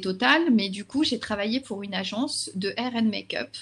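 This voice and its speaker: At a fairly slow pace, a woman speaks with lively intonation. Hers is a normal speaking voice. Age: 40s. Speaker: social media consultant and trainer. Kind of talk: interview.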